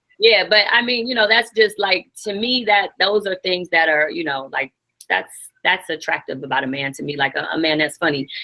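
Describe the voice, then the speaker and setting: An unremarkable speaking voice from a woman with an American accent, medium in pitch, at a moderate pace with lively intonation. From US Midwest, St. Louis. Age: 30s. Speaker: guest entrepreneur. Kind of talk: casual chat.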